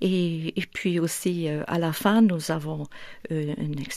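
A woman's fairly low voice on a very clean recording with a silent background. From northern England, near Manchester and Liverpool. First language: English (speaking French). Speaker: church event organiser. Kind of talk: radio interview. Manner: hesitant, many fillers.

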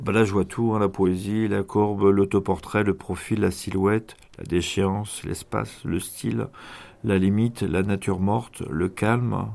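Here is a man with an unremarkable speaking voice and a fairly low pitch. His pitch variation is ordinary. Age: 50s. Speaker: prison inmate. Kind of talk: interview. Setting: prison.

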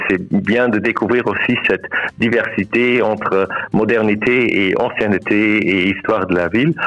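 Over noticeable background noise, a man talks at a fairly slow pace in a fairly low pitch, with very even loudness and fairly even intonation. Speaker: tourism marketing manager. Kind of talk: radio interview. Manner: halting, many repetitions and hesitations.

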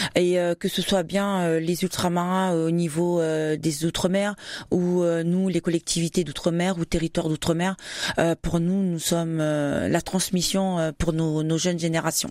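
The delivery is fairly slow and monotone, flat in intonation, with very even loudness. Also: woman, fairly low pitch for a woman. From New Caledonia, Wallis and Futuna heritage. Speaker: association president, former soldier. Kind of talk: radio interview. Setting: radio studio. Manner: hesitant, many fillers.

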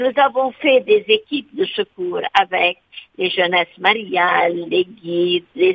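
A woman's intonation is lively even though her pace is very slow. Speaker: nun. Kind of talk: interview.

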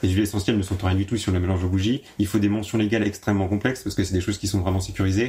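A man talks at a very fast pace with hardly any pauses, in a monotone, flat intonation. His fairly low voice has a dark, mellow tone and is somewhat breathy. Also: very even loudness. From Champagne region, France (Marne). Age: 20s. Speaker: artisan candle maker. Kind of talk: interview. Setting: workshop.

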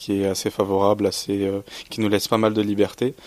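A very clean recording with a silent background and monotone, flat intonation. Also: man. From Champagne, France. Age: 20s. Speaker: student. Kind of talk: radio interview. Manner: halting.

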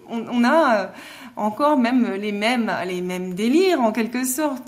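A speaker talks very slowly with lively intonation, and audible room echo surrounds the voice. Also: woman. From Alsace, Mulhouse. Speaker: novelist. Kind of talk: interview.

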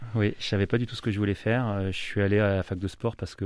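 A man's fairly low-pitched voice, fairly even in intonation and moderate in pace, against a quiet background. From France, Loiret (grew up there from young age). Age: 30s. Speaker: football coach. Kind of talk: radio interview. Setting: radio studio. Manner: hesitant, many fillers.

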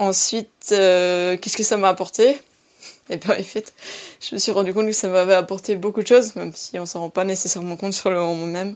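The woman's intonation is monotone and flat. She speaks at a fairly quick pace with a medium pitch. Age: 20s. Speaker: radio volunteer. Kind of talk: testimony.

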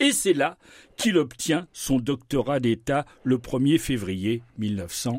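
Over a very clean recording with a silent background, a man speaks very slowly at a medium pitch with lively intonation. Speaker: science columnist on radio. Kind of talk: radio science segment.

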